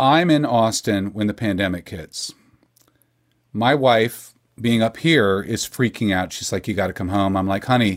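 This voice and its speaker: With an American accent, a man speaks at a moderate pace in a fairly low pitch with ordinary pitch variation. He has an unremarkable speaking voice, and the recording is very clean with a silent background. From Texas. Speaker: singer-songwriter. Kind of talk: casual chat.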